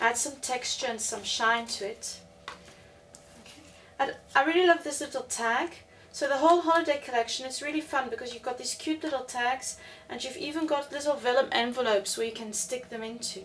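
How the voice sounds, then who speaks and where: In a South African accent, a woman talks at a fairly quick pace with a high pitch, ordinary pitch variation and big swings in loudness, against noticeable background noise. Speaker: crafter. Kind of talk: tutorial. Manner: hesitant, with many fillers.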